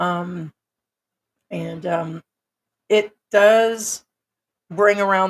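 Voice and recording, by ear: A woman with a fairly low pitch speaks in a dry, close sound with no echo.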